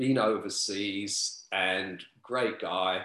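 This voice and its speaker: A man with a London accent, ordinary pitch variation, and a quiet background. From London, East End. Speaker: author and club promoter. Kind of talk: casual interview. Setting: video call.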